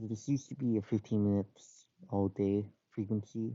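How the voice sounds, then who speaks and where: A man is speaking. His pitch is fairly low. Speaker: transit enthusiast explaining bus schedule changes. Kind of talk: casual explainer talk. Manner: hesitant, many filler words.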